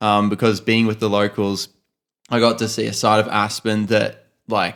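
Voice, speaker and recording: A man with an Australian accent speaks at a moderate pace, his fairly low pitch carried in a fairly even intonation. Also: very clean recording, silent background. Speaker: podcast co-host, photographer. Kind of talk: casual chat.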